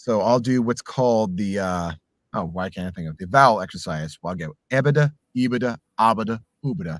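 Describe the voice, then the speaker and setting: A man with a fairly low pitch, fairly quick and lively in intonation, in a very clean recording with a silent background. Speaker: voice actor. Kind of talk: casual chat. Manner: animated.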